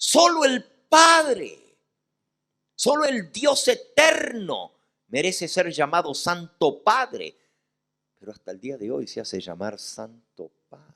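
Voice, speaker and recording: At a very slow pace, a man speaks with big swings in loudness and long, frequent pauses. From Argentina, Santa Fe. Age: 60s. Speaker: pastor. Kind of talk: sermon.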